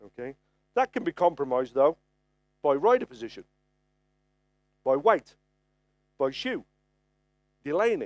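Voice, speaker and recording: A man with a Birmingham accent, his pitch swinging very widely, in a dry, close sound with no echo. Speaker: farrier presenting at a trade conference. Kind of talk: lecture. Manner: conversational, frequent okay fillers.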